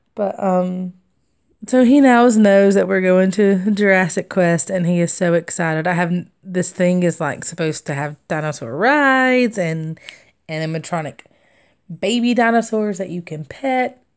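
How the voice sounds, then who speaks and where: This woman speaks with a Southern accent at a moderate pace, her medium pitch rising and falling with lively intonation. The recording is very clean, with a silent background. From US South. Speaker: crafting vlogger. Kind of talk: casual chat. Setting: live stream.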